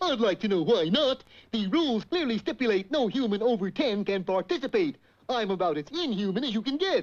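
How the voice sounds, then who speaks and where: A cartoonish character voice, fairly high in pitch and fairly quick in pace, over a quiet background. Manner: goofy, slow-witted.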